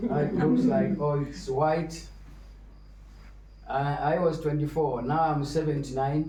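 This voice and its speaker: With long, frequent pauses, a man speaks at a very slow pace in a fairly high pitch with ordinary pitch variation, amid audible room echo and noticeable background noise. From Kenya. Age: 70s. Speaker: visiting Hare Krishna speaker. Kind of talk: religious talk.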